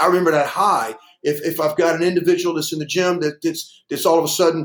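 In a Southern US accent, the speaker moves at a fairly quick pace. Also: man. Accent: Southern US (Georgia). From US South. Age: 60s. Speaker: weightlifting coach. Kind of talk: interview.

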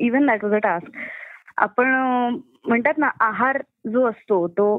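With ordinary pitch variation, this woman talks at a high pitch. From Pune, Maharashtra. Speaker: actress and comedian. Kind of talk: casual interview.

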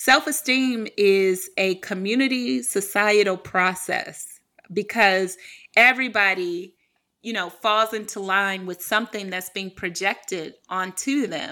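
A woman with an American accent and a bright, sharp tone speaks fairly slowly at a medium pitch, with ordinary pitch variation and big swings in loudness, in a very clean recording with a silent background. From US Midwest, Cleveland, Ohio. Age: young. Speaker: writer and speaker. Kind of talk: interview conversation.

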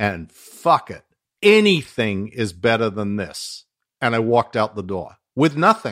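This is a man speaking with an Australian accent. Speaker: former Scientology executive and whistleblower. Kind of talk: casual interview chat.

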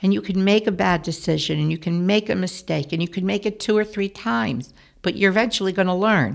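Her medium-pitched voice moving at a fairly quick pace, the woman speaks with lively intonation. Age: 60s. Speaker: retiring youth program director. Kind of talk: casual interview. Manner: straightforward, no-nonsense.

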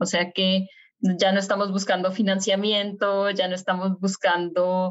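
Her delivery is fairly slow. This woman's intonation stays flat and monotone. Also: medium pitch for a woman, very even loudness. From Colombia, Bogotá. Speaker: aerospace engineer. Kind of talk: interview.

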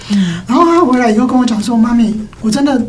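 A woman with a high voice talks at a fairly quick pace. There is audible room echo and noticeable background noise. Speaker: schoolteacher and parenting author. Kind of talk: casual chat.

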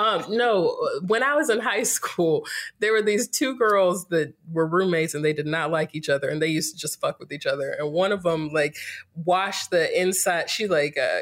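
A woman with an American accent and an unremarkable speaking voice, medium in pitch, lively in intonation, at a moderate pace. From North Carolina, US South (Greensboro). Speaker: yoga teacher and entrepreneur. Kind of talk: casual interview.

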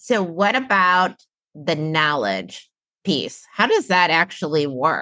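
At a very slow pace, a woman speaks in a fairly low voice with a bright, sharp tone, vocal fry, and very wide pitch swings. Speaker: podcast host. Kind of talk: interview.

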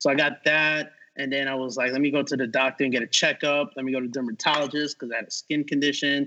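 A man's very fast, fairly high voice with a New York accent and fairly even intonation. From New York City. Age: 40s. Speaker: artist and animator. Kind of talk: casual chat.

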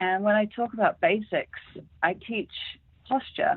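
With an American accent, a woman speaks at a medium pitch and a moderate pace. Her intonation is lively. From England. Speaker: hospitality consultant. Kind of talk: interview.

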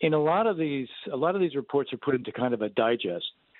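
In an ordinary speaking voice, a man talks at a medium pitch. His intonation is lively and his pace fairly quick. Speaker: Middle East policy expert. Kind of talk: interview.

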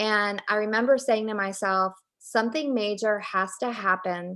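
At a fairly slow pace, a woman with an ordinary speaking voice talks at a fairly high pitch with ordinary pitch variation. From Virginia, Richmond. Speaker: author. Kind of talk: interview.

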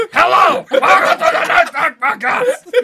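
Shouting in a put-on character voice, the speaker hits an extremely high pitch at a moderate pace. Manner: mocking, high-pitched.

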